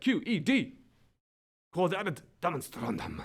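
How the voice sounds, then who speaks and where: A man's put-on, guttural character voice, high-pitched with very wide pitch swings, at a fairly slow pace. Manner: energetic, forceful exclamation.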